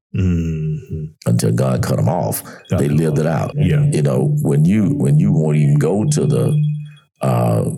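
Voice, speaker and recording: Music plays in the background. A man talks over it at a moderate pace. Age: 70s. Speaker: pastor. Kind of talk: casual chat.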